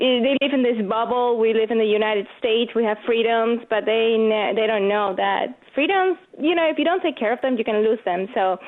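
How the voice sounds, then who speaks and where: A woman with a slight Venezuelan accent talks at a fairly quick pace with hardly any pauses, her fairly high pitch moving with ordinary variation and her loudness very even, over noticeable background noise. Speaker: competitive shooter and gun-rights commentator. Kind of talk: radio interview.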